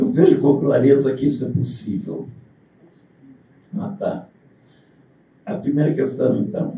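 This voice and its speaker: A man's fairly high-pitched voice with a dark, mellow tone and vocal fry, lively intonation, a fairly slow pace with long, frequent pauses, and audible room echo. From southern Brazil. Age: 80s+. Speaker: university lecturer. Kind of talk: lecture. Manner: partly reading aloud.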